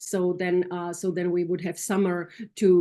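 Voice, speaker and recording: Against a quiet background, a woman with a non-native accent talks at a moderate pace in a fairly low pitch. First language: not English. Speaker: nonprofit CEO. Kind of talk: business meeting report. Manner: halting.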